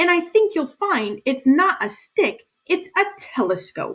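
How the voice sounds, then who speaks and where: Putting on a squeaky character voice, a woman speaks at a fairly slow pace with an extremely high pitch and very wide pitch swings. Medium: read story.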